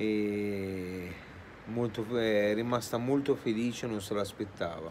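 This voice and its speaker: Over light background noise, a man speaks at a fairly low pitch with fairly even intonation. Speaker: vlogger. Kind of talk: casual vlog chat. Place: street. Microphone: phone near.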